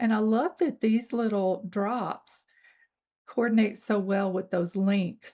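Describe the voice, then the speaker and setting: With an American accent, a woman talks in an ordinary speaking voice, fairly high in pitch, with ordinary pitch variation and a fairly slow pace. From US South, North Georgia. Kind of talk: tutorial. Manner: casual, chatty.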